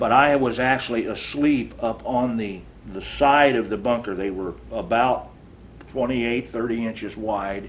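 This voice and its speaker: At a medium pitch, a man with a Midwestern American accent speaks with fairly even intonation. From Iowa, USA. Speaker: Vietnam War veteran, Navy Seabee. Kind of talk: oral history interview answer.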